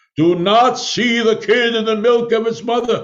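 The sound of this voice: Using a put-on character voice, a man speaks at a moderate pace in an extremely high, resonant voice with fairly even intonation.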